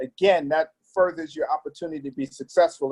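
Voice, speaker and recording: A man's fairly high voice at a fairly quick pace, with ordinary pitch variation and an ordinary speaking voice. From Brooklyn, New York (born in Trinidad, moved at seven). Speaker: pastor and community leader. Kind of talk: interview.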